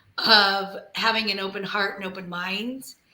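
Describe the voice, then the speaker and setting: A woman speaks very slowly at a medium pitch, with an American accent. Her intonation is flat and monotone, and the room echo is audible. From grew up outside the US. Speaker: travel advisor. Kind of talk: panel discussion.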